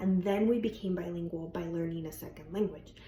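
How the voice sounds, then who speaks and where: Noticeable background noise sits behind a woman with a Spanish accent. Her intonation is fairly even. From Colombia. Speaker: bilingual speech language pathologist. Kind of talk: educational talk. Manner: informal, with frequent fillers.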